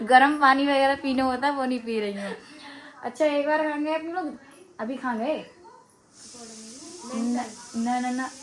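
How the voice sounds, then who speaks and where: There is noticeable background noise as a woman talks in a high pitch with ordinary pitch variation. Her moderate pace is broken by long, frequent pauses. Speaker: family vlogger. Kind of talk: casual vlog chat. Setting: at home, morning.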